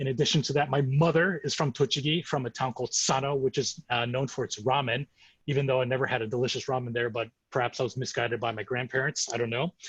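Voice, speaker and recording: A man with an American accent, medium pitch, a somewhat breathy sound, fairly even intonation and a very fast pace. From US Midwest, Chicago. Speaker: sake importer, co-host. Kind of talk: virtual tour presentation. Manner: halting, many fillers.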